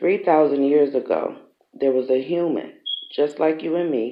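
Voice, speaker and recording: This man's pitch is fairly high. He talks at a moderate pace. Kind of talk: ASMR book reading, read aloud. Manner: soft-spoken.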